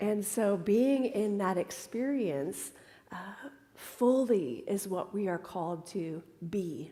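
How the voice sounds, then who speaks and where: A woman with a dark, mellow tone and medium pitch speaks very slowly with lively intonation, and audible room echo surrounds her voice. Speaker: minister. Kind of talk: sermon.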